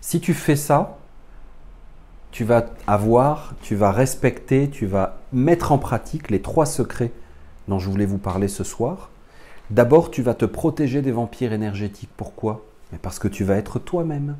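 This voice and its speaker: The voice is somewhat breathy, with a dark, mellow tone and lively intonation. It moves at a fairly slow pace with long, frequent pauses. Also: man, medium pitch for a man. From France. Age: 40s. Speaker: spiritual teacher. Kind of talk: lecture.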